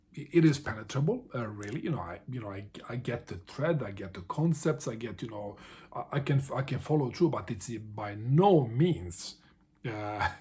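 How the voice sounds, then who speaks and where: A man's medium-pitched, somewhat breathy voice with a dark, mellow tone, lively intonation, big swings in loudness and a moderate pace, on a very clean recording with a silent background. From Bosnia, small town. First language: Serbo-Croatian. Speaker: book vlogger. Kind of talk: casual vlog monologue. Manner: halting, many fillers and repetitions.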